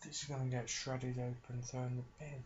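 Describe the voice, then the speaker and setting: At a fairly slow pace, a man speaks in a deadpan tone that is somewhat breathy. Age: 30s. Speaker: ASMR creator. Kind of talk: casual talk to camera. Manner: deadpan, wry, rambling, low-key.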